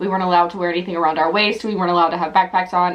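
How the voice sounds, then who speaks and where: Woman's voice at medium pitch, with noticeable background noise. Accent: American. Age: 20s. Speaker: youtuber. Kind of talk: casual chat. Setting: home office. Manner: rambling, filler-heavy.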